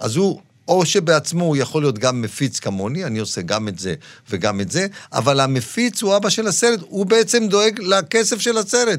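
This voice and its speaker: In a very clean recording with a silent background, a man speaks at a moderate pace and a high pitch. His tone is animated, with very wide pitch swings. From Israel, Dimona (born Morocco). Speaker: film producer. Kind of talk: interview.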